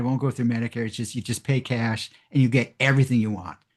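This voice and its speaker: Very fast speech with an American accent and fairly even intonation. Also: man. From US West Coast, San Francisco Bay Area. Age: 80s+. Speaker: physician, anti-aging doctor. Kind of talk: Q&A after a lecture.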